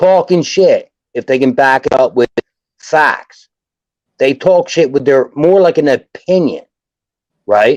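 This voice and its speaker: In a Philadelphia accent, a man talks in an animated tone, the sound dry and close with no echo. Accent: Philadelphia-area American English. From South Jersey, US. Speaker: sports fan commentator. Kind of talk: casual sports chat on livestream. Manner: animated, repetitive restarts.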